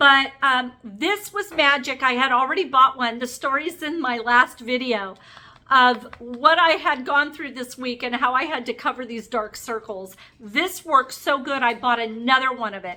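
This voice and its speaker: A woman with a high pitch and a raised, projected voice speaks at a moderate pace, showing ordinary pitch variation and big swings in loudness. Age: 50s. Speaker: beauty vlogger. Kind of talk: makeup tutorial vlog. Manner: casual, chatty.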